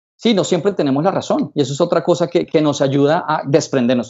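A normal speaking voice at a fairly quick pace, ordinary pitch variation, quiet background. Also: man. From Colombia, Bogotá. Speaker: psychologist and seduction coach; seduction coach. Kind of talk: casual interview. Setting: his office. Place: office. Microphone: video call.

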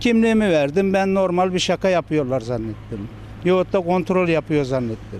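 At a moderate pace, a man with a high pitch uses lively intonation, the sound dry with no echo and light background noise behind him. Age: 40s. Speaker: cafeteria worker, cyclist fined by police. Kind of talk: news interview answer. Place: street. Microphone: handheld.

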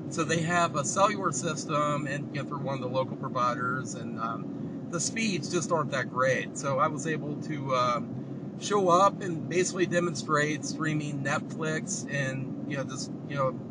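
Loud background noise runs under this man's voice. His pitch varies in an ordinary way, and the sound is dry with no echo. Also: moderate pace, hardly any pauses. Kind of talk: casual vlog chat. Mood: excited, relaxed. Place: car. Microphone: camera far.

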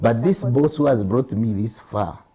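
The speaker moves at a moderate pace with lively intonation. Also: man. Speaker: senior media producer; talk show guest. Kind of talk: panel discussion. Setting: studio. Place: studio. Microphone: lapel.

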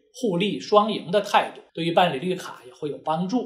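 A fairly slow pace from a male speaker. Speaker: immigration lawyer. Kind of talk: lecture. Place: office.

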